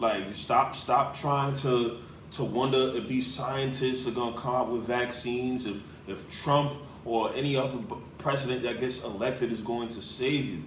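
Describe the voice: A man with a medium-pitched voice talks at a moderate pace and fairly even intonation, and the room echo is audible.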